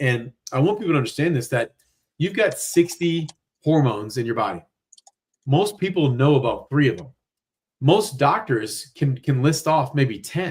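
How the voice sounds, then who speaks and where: A somewhat breathy man speaks with lively intonation. He leaves long, frequent pauses. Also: fairly high pitch for a man, moderate pace. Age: 40s. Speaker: weight loss doctor, former chiropractor. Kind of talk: live-streamed interview. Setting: live stream. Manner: animated.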